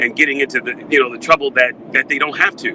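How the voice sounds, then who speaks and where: With an American accent, a man talks at a fairly high pitch and fairly even intonation over noticeable background noise. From New York, Brooklyn. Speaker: radio and TV news personality. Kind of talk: interview.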